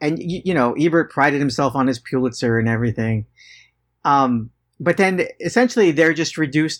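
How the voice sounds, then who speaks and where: With a plain, everyday voice, a man speaks fairly quickly at a fairly high pitch with lively intonation in a very clean recording with a silent background. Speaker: guest. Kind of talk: casual chat.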